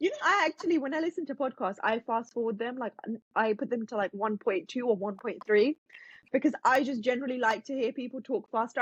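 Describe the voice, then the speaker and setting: Very fast and animated, a woman talks in a high pitch with a British accent. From England. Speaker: self-help author and content creator. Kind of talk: podcast interview.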